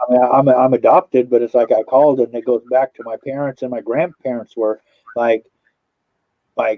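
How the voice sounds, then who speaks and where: This man talks with a Californian accent at a moderate pace. His voice sits at a medium pitch, and his intonation stays fairly even. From Southern California. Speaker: paranormal channel host, livestreamer. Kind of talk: casual livestream chat.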